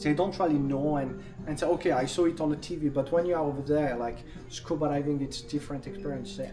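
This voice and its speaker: The speaker talks very fast with a French accent and fairly even intonation. Music plays in the background. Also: man, fairly high pitch for a man. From France. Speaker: casino host. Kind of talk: casual chat. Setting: on board a cruise ship.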